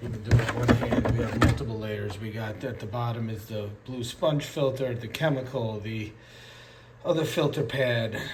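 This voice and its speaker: A man with a medium-pitched voice talks at a moderate pace, his intonation fairly even. Room echo is audible, background noise is noticeable, and his loudness swings widely. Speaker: aquarium hobbyist. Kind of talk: tutorial. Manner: hesitant, many fillers.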